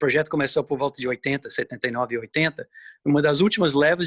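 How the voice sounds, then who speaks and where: Against a quiet background, a man with a fairly high pitch talks very fast with ordinary pitch variation in a dry, close sound with no echo. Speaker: ornithologist, researcher. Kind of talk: interview.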